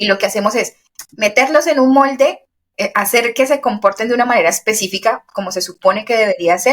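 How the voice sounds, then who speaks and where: A woman with an unremarkable speaking voice talks at a fairly quick pace, her fairly high pitch showing ordinary variation. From Colombia, Valle del Cauca. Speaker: podcast co-host. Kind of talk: casual chat.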